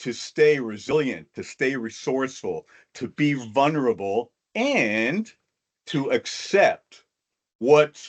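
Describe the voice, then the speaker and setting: A man speaks with an American accent. His pitch sits in the middle range and varies in an ordinary way. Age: 60s. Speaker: motivational speaker. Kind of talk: talk to an online audience.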